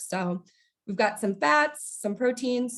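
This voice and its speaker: Ordinary pitch variation in a woman's fairly high voice. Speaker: registered dietitian. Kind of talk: workplace nutrition presentation. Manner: fast; casual, many fillers.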